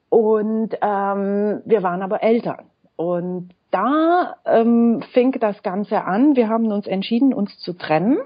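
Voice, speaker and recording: Her pace is very slow. This woman has lively intonation. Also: fairly high pitch for a woman. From Romania. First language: Romanian and French (speaking German). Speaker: school founder and blogger. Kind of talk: interview.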